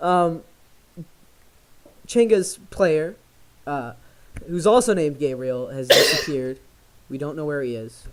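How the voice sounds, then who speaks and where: Over noticeable background noise, a man with a fairly high pitch speaks at a fairly slow pace, with long, frequent pauses. His intonation is lively, and his loudness swings widely. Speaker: tabletop game master. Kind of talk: tabletop game narration. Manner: soft-spoken.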